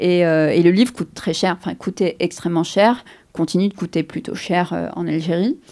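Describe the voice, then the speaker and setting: On a very clean recording with a silent background, a woman with a fairly low pitch and vocal fry speaks at a moderate pace using ordinary pitch variation. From Algeria, Algiers. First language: Arabic (speaking French). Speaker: novelist. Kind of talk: interview. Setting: outdoors, museum gardens. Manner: hesitant, many repetitions and fillers.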